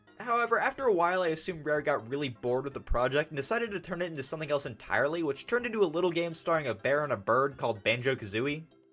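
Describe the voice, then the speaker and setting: Over noticeable background noise, a man with a fairly high pitch rushes along at a very fast pace, with hardly any pauses and very wide pitch swings. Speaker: gaming youtuber. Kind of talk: video essay narration. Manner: casual, sarcastic.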